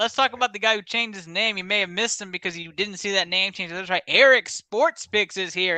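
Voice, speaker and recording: In an American accent, a man with a high pitch and a bright, sharp tone talks in a raised, projected voice at a very fast pace with hardly any pauses, in a dry, close sound with no echo. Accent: Texan accent, strong today. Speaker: sports podcast host. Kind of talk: casual sports podcast chat. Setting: studio. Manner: animated.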